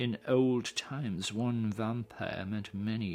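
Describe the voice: The plain reading aloud keeps a fairly level intonation.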